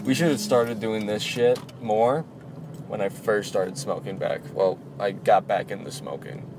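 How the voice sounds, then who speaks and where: With an American accent, a man talks at a moderate pace in a medium pitch. His intonation is lively, and there is noticeable background noise. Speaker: podcast host. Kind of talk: casual chat.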